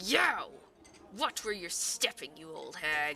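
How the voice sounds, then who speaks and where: In a put-on character voice that sounds female, the speaker goes at a fairly slow pace. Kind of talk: let's play game commentary.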